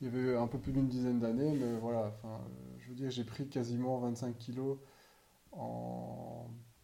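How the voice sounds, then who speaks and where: A man's medium-pitched voice, dark and mellow in tone, with monotone, flat intonation, a fairly slow pace and audible room echo. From Belgium. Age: 30s. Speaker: podcaster. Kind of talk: casual monologue. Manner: halting.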